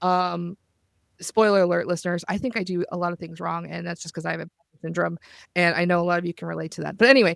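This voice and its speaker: A woman speaks at a very fast pace. The recording is very clean, dry and close, with a silent background and no echo. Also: big swings in loudness. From US South. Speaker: podcast host and roleplay player. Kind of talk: casual chat.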